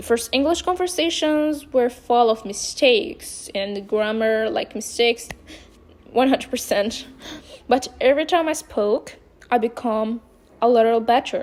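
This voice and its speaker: This woman speaks fairly slowly in a high voice with a non-native accent. Her intonation is lively. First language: not English. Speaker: vlogger. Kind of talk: personal monologue. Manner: halting.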